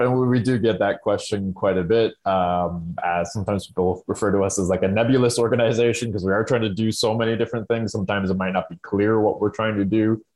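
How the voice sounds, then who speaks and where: Speaking at a very fast pace with hardly any pauses, a man with an Ontario accent keeps a fairly even intonation. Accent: Canadian (Ontario). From Southern Ontario, Canada. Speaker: rural climate organization worker. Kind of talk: casual interview chat.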